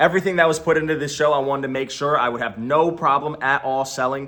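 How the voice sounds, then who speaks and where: A loud man talks at a very fast pace with a bright, sharp, energetic tone. His pitch varies in an ordinary way. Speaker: online reseller and YouTuber. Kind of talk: explainer video to camera.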